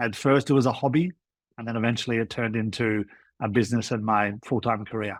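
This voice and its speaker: Recorded dry and close with no echo, on a very clean recording with a silent background, a man with an Australian accent speaks with ordinary pitch variation. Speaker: food tour guide, former lawyer. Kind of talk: podcast interview.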